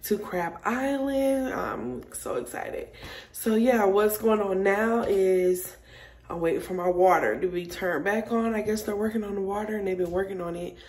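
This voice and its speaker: Her pitch varies in an ordinary way as the woman keeps a moderate pace. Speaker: vlogger. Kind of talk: casual vlog chat. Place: home room. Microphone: phone near.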